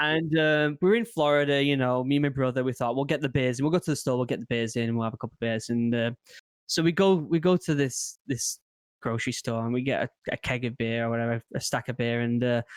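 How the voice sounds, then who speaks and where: Very fast speech from a man with an English accent, medium in pitch with ordinary variation, on a very clean, dry, close recording with a silent background and no echo. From England. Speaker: former marine turned content creator. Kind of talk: casual chat. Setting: podcast.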